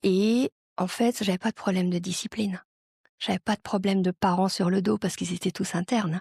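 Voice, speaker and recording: A woman speaks at a medium pitch and a fairly quick pace, with a dark, mellow tone, fairly even intonation and very even loudness. The recording is very clean with a silent background, and the sound is dry and close with no echo. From France. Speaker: global mobility professional. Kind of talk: interview. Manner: hesitant fillers.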